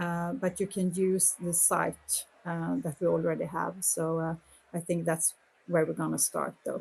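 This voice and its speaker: Against a quiet background, a woman with a fairly low pitch speaks slowly in a somewhat breathy voice, her intonation monotone and flat. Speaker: politician. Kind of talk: interview. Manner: halting.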